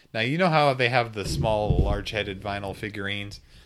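Noticeable background noise is present. A man talks at a moderate pace in a fairly low pitch with ordinary pitch variation. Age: 30s. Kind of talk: casual chat.

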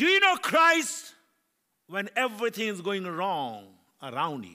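On a very clean recording with a silent background, a man raises and projects his high voice in a bright, sharp tone with very wide pitch swings. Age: 70s. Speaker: preacher. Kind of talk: sermon. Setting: church. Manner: animated.

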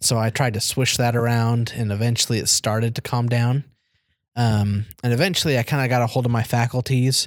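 In an ordinary speaking voice, a man speaks at a medium pitch with fairly even intonation and very even loudness, on a very clean recording with a silent background. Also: fairly quick pace. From Arizona, born in Germany. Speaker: returned missionary. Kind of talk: casual interview.

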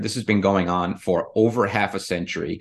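Against a quiet background, a man with an American accent talks in a normal speaking voice at a fairly low pitch with ordinary pitch variation. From Rhode Island, US Northeast. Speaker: real estate investor. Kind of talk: casual chat.

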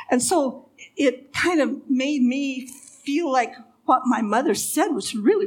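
This woman's voice sits at a high pitch. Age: 70s. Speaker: storyteller and sign language interpreter. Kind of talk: testimony. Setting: stage with audience at church event. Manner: halting, with repeated words.

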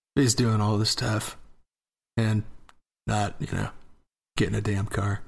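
This man talks at a fairly slow pace with a fairly low, somewhat breathy voice, flat monotone intonation, and long, frequent pauses. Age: 20s. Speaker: podcast co-host. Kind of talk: casual chat.

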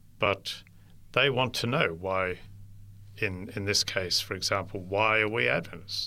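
A man with an Australian accent has a fairly low pitch and a bright, sharp tone. He speaks fairly slowly with long, frequent pauses on a very clean recording with a silent background. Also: ordinary pitch variation. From inland New South Wales, Australia. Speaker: interfaith ministry worker. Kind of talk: interview. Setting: studio.

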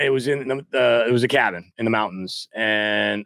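In an American accent, a man speaks at a medium pitch and moderate pace with a bright, sharp tone and ordinary pitch variation, recorded very cleanly against a silent background with a dry, close sound and no echo. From US Midwest. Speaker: real estate investor. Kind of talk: casual chat. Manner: halting, many fillers and restarts.

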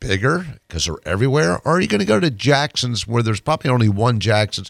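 A man's medium pitch with very wide swings, dry and close with no echo, on a very clean recording with a silent background. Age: 60s. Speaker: personal injury lawyer. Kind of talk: radio guest interview. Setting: radio studio. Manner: halting, repeats words.

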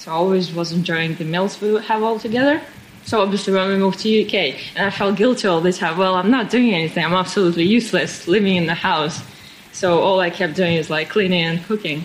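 Talking very fast with a Russian accent, a woman speaks at a medium pitch with ordinary pitch variation against noticeable background noise. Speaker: pastry chef. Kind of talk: interview.

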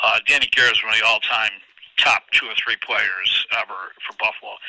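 A man's speech comes at a moderate pace, the sound dry and close with no echo. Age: 60s. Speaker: event organizer. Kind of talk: interview.

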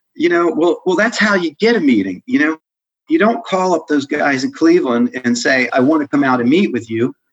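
A man's fairly high voice with very wide pitch swings, at a fairly quick pace, in a dry, close sound with no echo. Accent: American. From Maryland suburbs of Washington D.C. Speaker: accounting firm executive. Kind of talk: interview. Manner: halting, many repetitions and fillers.

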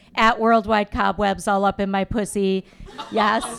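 A woman with an American accent and a fairly high pitch talks fairly slowly with ordinary pitch variation, with noticeable background noise behind her. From US Midwest, Chicago suburbs. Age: 50s. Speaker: stand-up comedian. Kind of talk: stand-up. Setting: stage with live audience.

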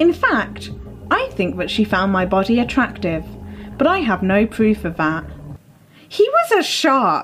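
A woman talks with long, frequent pauses over noticeable background noise. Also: fairly slow pace. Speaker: podcast host. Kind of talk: casual chat with story reading aloud. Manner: stretches vowels when recorded.

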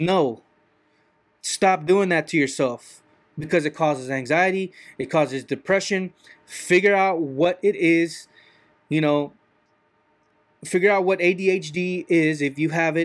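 A man's high-pitched voice at a fairly slow pace, with ordinary pitch variation and long, frequent pauses. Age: 30s. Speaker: podcaster. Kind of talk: monologue rant. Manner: halting.

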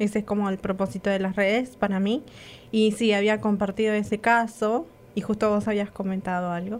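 On a very clean recording with a silent background, a woman speaks in an Argentine accent. Her medium-pitched voice stays monotone and flat at a fairly quick pace. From Argentina. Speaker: radio co-host. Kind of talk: casual chat.

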